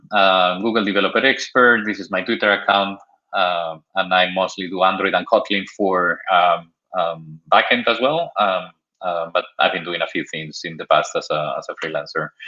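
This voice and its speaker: This is a man with a Spanish accent. He talks at a moderate pace. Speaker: software developer, tech speaker. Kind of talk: technical talk. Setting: online video stream. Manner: halting with many fillers.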